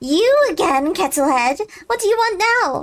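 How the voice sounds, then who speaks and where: Putting on a character voice, a woman cackles at an extremely high pitch with very wide pitch swings and a moderate pace. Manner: irritated, curt.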